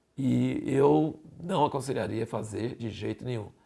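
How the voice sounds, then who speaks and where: A man speaks very slowly at a medium pitch, his voice carrying vocal fry. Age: 60s. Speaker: Bible teacher. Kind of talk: sermon.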